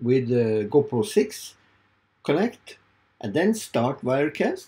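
A man with a Norwegian accent, somewhat breathy, dark and mellow in tone, very slow pace, very wide pitch swings. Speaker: video creator. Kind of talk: tutorial. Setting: home studio. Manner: halting. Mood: puzzled, hopeful. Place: home room.

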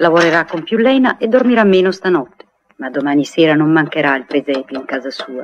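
Over light background noise, a woman talks fairly quickly in a fairly low pitch with very wide pitch swings. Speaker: narrator of radio play. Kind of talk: 1959 radio drama, narrator reading stage directions aloud; narration of stage directions. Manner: measured, lyrical, warmly evocative storyteller pace. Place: studio. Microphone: old recording.

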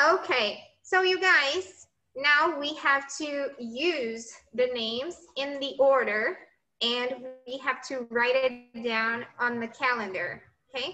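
A woman with a high voice speaks very slowly, her voice raised and projected with a bright, sharp tone and ordinary pitch variation. Light background noise can be heard. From Brazil. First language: Portuguese. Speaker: English teacher. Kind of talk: lecture. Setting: classroom with students also joining remotely.

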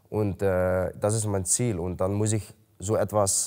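A man speaks at a very slow pace with a Dutch accent and a fairly low pitch. His pitch varies in an ordinary way, and the background stays quiet. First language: Dutch (speaking German). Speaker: MMA fighter. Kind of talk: interview. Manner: halting. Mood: calm, matter-of-fact. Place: gym.

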